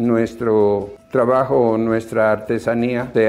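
A man's fairly low voice at a very slow pace, fairly even in intonation, with music in the background. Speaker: master craftsman. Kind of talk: interview testimony.

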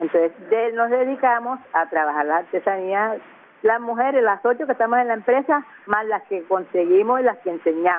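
This is an ordinary speaking voice from a woman. Her pitch is fairly high and her pace is moderate. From Caribbean coast of Colombia, La Boquilla near Cartagena. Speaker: artisan and community leader. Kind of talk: interview.

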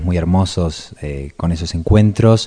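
Somewhat breathy and dark, mellow in tone, a man speaks with a very deep, low pitch, ordinary pitch variation and a strong Argentine accent. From Argentina. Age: 30s. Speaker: writer. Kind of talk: radio interview.

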